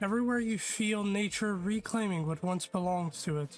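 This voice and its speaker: A man's high-pitched voice with music in the background. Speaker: gaming streamer. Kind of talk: reading in-game story text aloud with live reactions.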